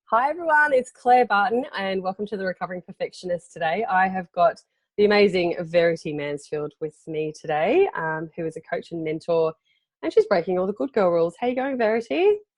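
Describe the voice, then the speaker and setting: A woman's medium-pitched voice in an Australian accent, with lively intonation. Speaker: podcast host. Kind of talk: casual interview chat. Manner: hesitant, many fillers.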